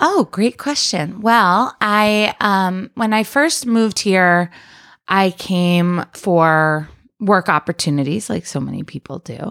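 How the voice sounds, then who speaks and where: In a very clean recording with a silent background and a dry, close sound with no echo, a woman with an American accent and a medium pitch speaks at a very slow pace in a calm tone with lively intonation. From upstate New York (Rochester). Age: 30s. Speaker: political candidate and activist. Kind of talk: casual interview. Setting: at her home, around a kitchen table.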